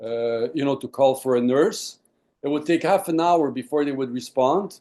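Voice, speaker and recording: This voice has a dark, mellow tone, ordinary pitch variation, and a moderate pace. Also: man, fairly high pitch for a man. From Quebec, Montreal. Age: 60s. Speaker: lung disease patient. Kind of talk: interview. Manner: halting, many fillers.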